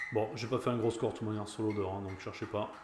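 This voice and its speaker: A man's voice carries audible room echo. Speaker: pinball streamer. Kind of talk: live stream gameplay commentary. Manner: halting, many fillers.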